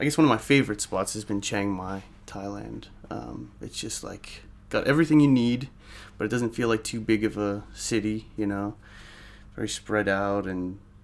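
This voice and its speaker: Using an ordinary speaking voice, a man talks at a moderate pace in a fairly low pitch with ordinary pitch variation. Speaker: interviewee. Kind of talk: interview answer. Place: home room.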